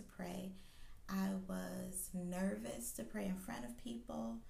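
A woman's fairly slow speech comes with audible echo from the room. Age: 40s. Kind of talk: devotional talk. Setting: recording late at night.

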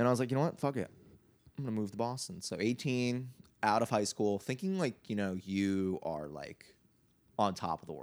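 A man uses a normal speaking voice at a medium pitch and a moderate pace, with lively intonation. The recording is very clean, with a silent background. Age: 20s. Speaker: musician. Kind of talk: casual chat.

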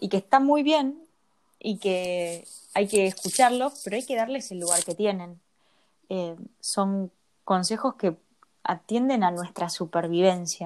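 A woman with a Rioplatense accent speaks at a medium pitch and a fairly slow pace, with lively intonation. She leaves long, frequent pauses on a very clean recording with a silent background. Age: 30s. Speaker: podcast co-host, personal development coach. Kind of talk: casual chat.

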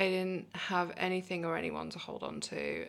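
A woman with a British accent is heard in a very clean recording against a silent background. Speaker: recovery advocate and coach. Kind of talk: casual interview, telling her life story.

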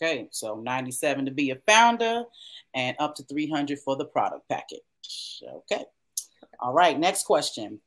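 Her pitch swinging very wide, a woman talks at a fairly slow pace. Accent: Southern US. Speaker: show host. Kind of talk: casual promotional chat.

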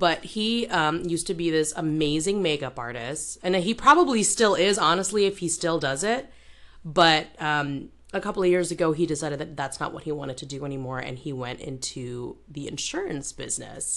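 A woman with a very deep, low pitch speaks at a moderate pace with lively intonation. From Indonesia. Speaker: podcast host. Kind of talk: casual chat.

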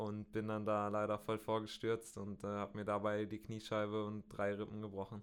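The man's pitch is fairly low and his intonation monotone and flat. He keeps a moderate pace. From Bielefeld, North Rhine-Westphalia, Germany. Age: 20s. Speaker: professional road cyclist. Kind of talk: interview. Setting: studio. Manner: hesitant, many fillers.

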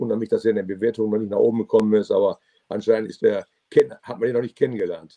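The speaker is a man with big swings in loudness. He delivers his words at a very fast pace. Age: 70s. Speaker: restaurateur and sommelier. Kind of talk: casual interview.

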